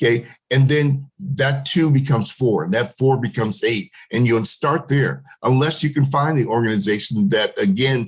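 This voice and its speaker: A man with an American accent, somewhat breathy and at medium pitch, over a quiet background. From US Pacific Northwest, Seattle Central area. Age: 60s. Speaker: panelist, school alumnus. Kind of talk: panel discussion. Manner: halting, many fillers.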